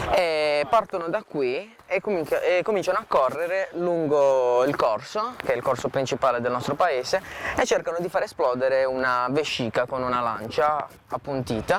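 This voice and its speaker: Lively intonation from a man with a fairly high voice, moderate in pace, over noticeable background noise. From Puglia, southern Italy (Palo del Colle near Bari). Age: 20s. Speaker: trainee surveyor, local event volunteer. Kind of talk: on-camera interview. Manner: halting, many fillers.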